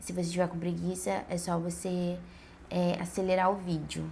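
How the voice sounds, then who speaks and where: A woman speaks in a fairly low pitch with a somewhat breathy voice. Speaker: vlogger. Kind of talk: casual vlog monologue. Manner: conversational, many fillers and hesitations.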